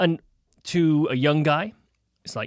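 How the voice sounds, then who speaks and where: At a fairly quick pace, a man talks in a Welsh accent. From Wales. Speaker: commercial real estate broker. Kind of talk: casual chat. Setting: studio.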